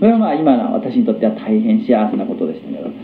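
Amid noticeable background noise and audible room echo, a man talks at a high pitch with very wide pitch swings. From Japan, Hagi, Yamaguchi. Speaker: Buddhist lecturer. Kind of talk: Buddhist lecture.

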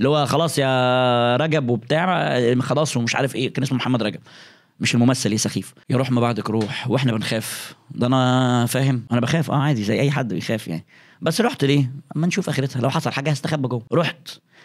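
At a fairly quick pace, a man talks at a medium pitch with ordinary pitch variation and very even loudness, in a very clean recording with a silent background. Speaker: YouTuber storyteller. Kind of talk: storytelling monologue. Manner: animated.

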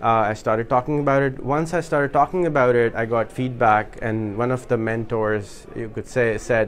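A man with a Pakistani accent, medium pitch, ordinary pitch variation and a moderate pace. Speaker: social media entrepreneur and workshop speaker. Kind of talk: workshop talk. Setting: in-person meetup with live audience.

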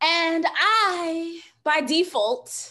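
With an American accent, a woman speaks in a bright, sharp tone against a quiet background. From New York City. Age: 30s. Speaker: social worker and podcast host. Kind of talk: casual interview chat. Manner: animated. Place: home room. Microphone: video call.

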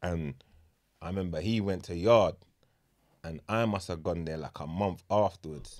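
Speaking at a moderate pace with long, frequent pauses, a man with a very deep, low voice and a London accent shows ordinary pitch variation over a quiet background. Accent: London multicultural English. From England. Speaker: podcast host. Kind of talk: casual chat. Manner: animated. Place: studio. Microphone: studio mic.

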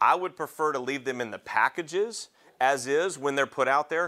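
A man speaks with a bright, sharp tone at a fairly high pitch. The background is quiet. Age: 40s. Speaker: paramedic educator; EMS lecturer. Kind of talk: lecture. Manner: halting. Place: classroom.

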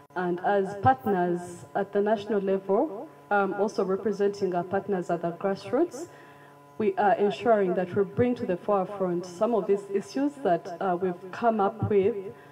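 With noticeable background noise behind her, a woman talks at a moderate pace with ordinary pitch variation. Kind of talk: press conference opening remarks. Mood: earnest, formal. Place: hall. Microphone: handheld.

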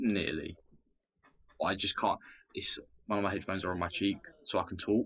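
A man mumbles with a southern English accent at a fairly quick pace, broken by long, frequent pauses. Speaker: discord community member. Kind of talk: casual chat. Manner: mumbling.

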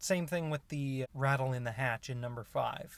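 Speech moves at a moderate pace, the sound dry with no echo. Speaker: car owner reviewer. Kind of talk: casual review commentary. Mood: mildly annoyed, calm. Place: car. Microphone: phone near.

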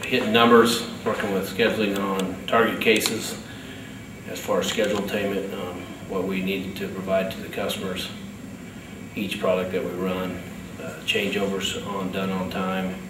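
Against noticeable background noise, a man with a very deep, low pitch talks at a moderate pace in a monotone, flat delivery. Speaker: factory packaging lead. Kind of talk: interview answer, workplace talk. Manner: halting, filler-heavy. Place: factory.

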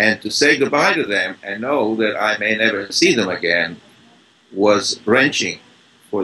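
Bright, sharp tone from a man at a fairly low pitch and moderate pace, with light background noise. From Czech Republic, Brno. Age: 80s+. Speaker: Holocaust survivor. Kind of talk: interview answer. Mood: somber, reflective. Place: home room. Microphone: video call.

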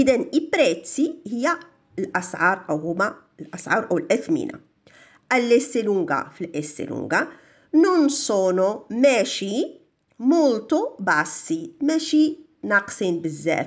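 In a Moroccan accent, a woman speaks at a very slow pace with a fairly high pitch and very wide pitch swings against a quiet background. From Morocco. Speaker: language teacher. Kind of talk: tutorial. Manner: slow, repeating Italian phrases. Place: shop. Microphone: phone near.

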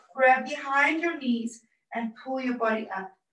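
Over a quiet background with audible room echo, a woman speaks very slowly at a high pitch with ordinary pitch variation. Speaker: fitness instructor. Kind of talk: exercise class instructions. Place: home room. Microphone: camera far.

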